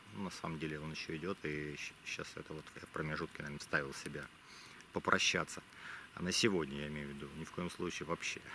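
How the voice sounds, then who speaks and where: With a very deep, low pitch and fairly even intonation, the man speaks at a very fast pace. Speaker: travel vlogger. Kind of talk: vlog narration. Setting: outdoors. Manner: quiet; halting.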